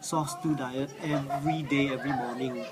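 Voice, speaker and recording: Noticeable background noise is present. The talking proceeds at a fairly slow pace. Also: man. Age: 60s. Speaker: cancer patient. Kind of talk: testimony. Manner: halting, many fillers.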